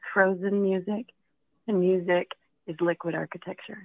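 At a moderate speed, an unremarkable speaking voice carries on. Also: woman. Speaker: piano teacher for children.

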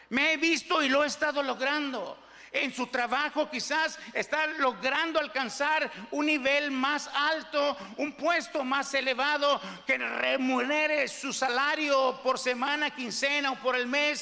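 A man speaks at a very slow pace in a raised, projected voice with extremely high pitch. His intonation is fairly even, and noticeable background noise can be heard. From Mexico. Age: 60s. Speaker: pastor. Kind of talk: sermon.

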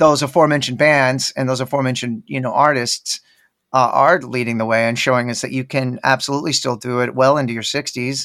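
Here a man talks at a very fast pace. His pitch is medium and his intonation fairly even. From Texas, Dallas. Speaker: rock guitarist. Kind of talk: casual interview chat.

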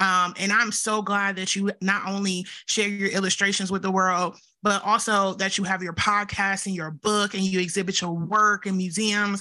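Speaking at a moderate pace, a woman uses a bright, sharp tone at a medium pitch. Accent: Southern US. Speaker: podcast co-host. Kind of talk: casual chat, interview. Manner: excited, animated.

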